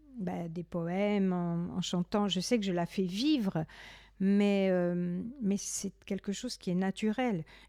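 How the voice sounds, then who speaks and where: A woman speaks at a medium pitch, very slowly, with ordinary pitch variation. The recording is very clean with a silent background, and the sound is dry and close with no echo. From Corsica. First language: Corsican (speaking French). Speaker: poet and singer. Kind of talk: interview. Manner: halting.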